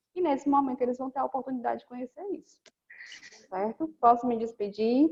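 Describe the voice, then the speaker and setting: A woman speaks at a fairly quick pace. Her pitch is high, and her loudness swings widely. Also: ordinary pitch variation. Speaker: teacher in health-care course. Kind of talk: online class Q&A.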